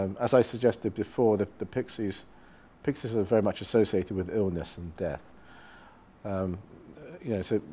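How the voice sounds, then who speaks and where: A man with a dark, mellow tone talks at a moderate pace. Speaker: guest. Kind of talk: interview answer. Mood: thoughtful, calm. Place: studio.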